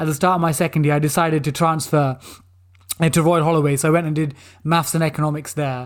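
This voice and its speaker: Recorded very cleanly with a silent background, a man with a London accent speaks at a very fast pace. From East London, England. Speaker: former banker and quiz show contestant. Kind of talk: interview. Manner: animated.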